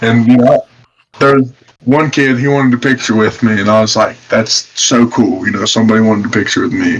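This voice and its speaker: With an Appalachian accent, a man talks at a fairly quick pace, medium in pitch and fairly even in intonation. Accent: Appalachian American. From West Virginia. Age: 20s. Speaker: professional boxer. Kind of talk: casual interview. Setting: podcast.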